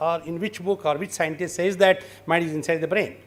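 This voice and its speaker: At a moderate pace, a man with a high pitch speaks in a Kannada accent. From Karnataka, India. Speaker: lecturer on traditional healing. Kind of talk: interactive lecture.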